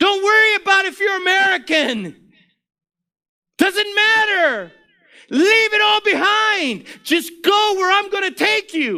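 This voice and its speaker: A man calls out in a raised, projected voice at an extremely high pitch, his tone bright and sharp. He speaks at a very slow pace. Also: ordinary pitch variation. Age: 60s. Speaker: preacher. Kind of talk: sermon. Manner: animated.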